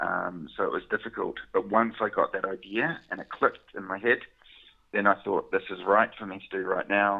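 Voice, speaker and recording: A man speaks with a New Zealand accent. His loudness swings widely. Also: moderate pace. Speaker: chocolate business owner, former scientist. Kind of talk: interview.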